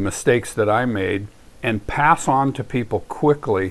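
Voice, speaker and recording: This man has an ordinary speaking voice at a medium pitch, with ordinary pitch variation. He talks at a moderate pace over a quiet background. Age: 60s. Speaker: home winemaker teaching wine making. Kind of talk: casual spoken introduction. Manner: conversational, with fillers and restarts.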